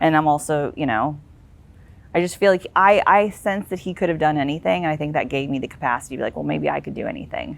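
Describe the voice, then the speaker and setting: A woman with an American accent talks at a very fast pace in a very deep, low pitch, with vocal fry. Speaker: author and national security career executive. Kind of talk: podcast interview. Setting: outdoors in the shade.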